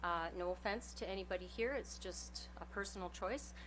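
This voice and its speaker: A woman speaks with a Canadian accent. Her pace is moderate. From northern British Columbia, Canada. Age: 50s. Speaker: member of the public addressing council. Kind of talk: public delegation speech. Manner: hesitant with many fillers.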